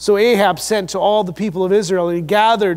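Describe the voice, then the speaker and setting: The speaker has an American accent and talks at a fairly quick pace. Intonation stays fairly even over a quiet background. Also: man. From US Midwest. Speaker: pastor. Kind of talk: sermon. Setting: church. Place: church. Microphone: lapel.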